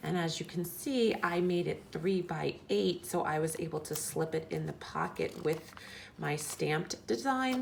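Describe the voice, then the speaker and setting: Noticeable background noise fills the recording. A woman talks fairly slowly over it. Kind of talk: casual craft tutorial talk to camera. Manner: whispered.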